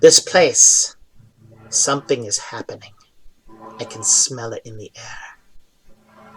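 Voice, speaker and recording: A man doing a put-on character voice speaks at a fairly slow pace with big swings in loudness, long, frequent pauses and hissing in the audio. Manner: hissing and giggling.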